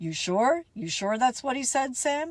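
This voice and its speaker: A woman puts on a character voice, high in pitch with very wide pitch swings. Her pace is moderate. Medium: read story. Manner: dry, offhand.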